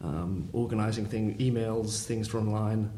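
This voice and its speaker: A fairly low-pitched man amid audible room echo. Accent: London. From London. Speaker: family business employee. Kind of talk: interview conversation. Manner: hesitant.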